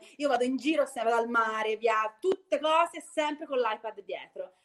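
A woman talks at a fairly slow pace in a normal speaking voice with lively intonation. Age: 40s. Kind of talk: casual chat.

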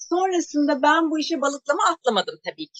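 Heard in a dry, close sound with no echo, a woman speaks at a moderate pace in a bright, sharp tone. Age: 40s. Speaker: energy work trainer. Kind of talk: interview.

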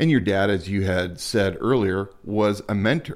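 A man's fairly low voice in an American accent, with ordinary pitch variation. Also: very clean recording, silent background. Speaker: podcast co-host. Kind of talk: casual chat. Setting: smoking a cigar while recording.

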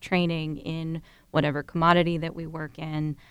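In an American accent, a woman speaks in a normal speaking voice with a fairly low pitch at a moderate pace. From Ohio. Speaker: university professor.

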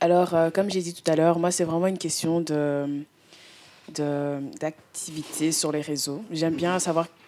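A woman's fairly low, monotone, flat voice at a fairly slow pace, with noticeable background noise. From Belgium (Brussels), also lived in Canada and Congo. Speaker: student vlogger. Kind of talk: casual chat.

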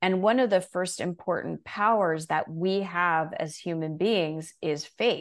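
A woman's normal speaking voice, fairly low in pitch and fairly slow, with fairly even intonation, on a very clean recording with a silent background. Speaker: coach and author. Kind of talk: interview, coaching talk.

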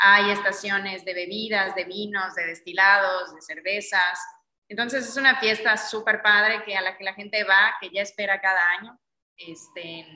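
A woman with a plain, everyday voice speaks at a moderate pace and medium pitch. Her intonation stays fairly even while her loudness swings a lot. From Mexico, Yucatán (Mérida). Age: 30s. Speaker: magazine publisher and event organizer. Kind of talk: interview conversation.

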